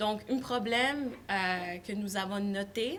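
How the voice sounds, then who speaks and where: A woman with a non-native accent and a fairly high pitch talks at a very slow pace with ordinary pitch variation, and the room echo is audible. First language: not French (speaking French). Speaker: student environmental activist. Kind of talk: panel talk. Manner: halting, frequent hesitations.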